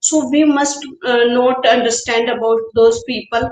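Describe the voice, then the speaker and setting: A woman with a high voice speaks fairly slowly. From Haryana, India, village area. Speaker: homemaker. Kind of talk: casual chat. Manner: halting.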